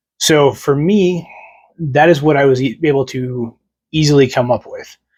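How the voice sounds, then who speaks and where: A man with an American accent, moderate pace, fairly high pitch, somewhat breathy, with ordinary pitch variation. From United States. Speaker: wargaming YouTuber. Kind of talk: casual explainer to camera. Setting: home room with models on shelf, on camera.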